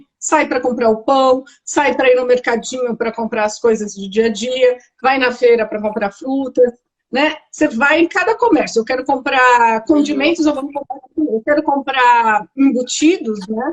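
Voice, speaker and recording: Delivery is fairly slow. The pitch moves in an ordinary range. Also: woman, high pitch for a woman. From Brazil. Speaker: architect living abroad. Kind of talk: interview.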